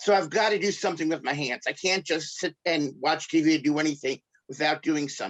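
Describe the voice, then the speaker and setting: A man with a New York accent, fairly high in pitch, with ordinary pitch variation and a fairly quick pace. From New York (Brooklyn). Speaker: pastor and craft artist. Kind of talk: interview.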